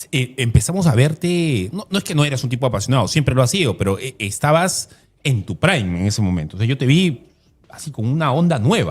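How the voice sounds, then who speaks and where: Somewhat breathy and medium in pitch, a man speaks at a moderate pace with very wide pitch swings. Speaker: interviewer. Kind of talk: interview.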